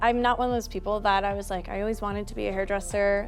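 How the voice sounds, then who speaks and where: Music plays in the background as a woman with an American accent speaks at a medium pitch in a monotone, flat intonation. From US Northeast, Connecticut. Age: 20s. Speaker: hairstylist. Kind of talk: interview. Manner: hesitant, many ums and likes.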